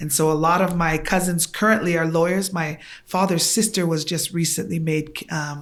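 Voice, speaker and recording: Moderate pace from a woman, her pitch fairly low and her intonation fairly even. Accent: Tongan. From Tonga. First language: Tongan. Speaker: guest. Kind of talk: casual chat.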